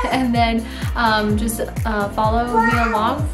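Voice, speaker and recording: A woman is speaking. Loud music plays in the background. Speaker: home cooking vlogger. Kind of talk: casual vlog chat. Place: kitchen. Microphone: phone near.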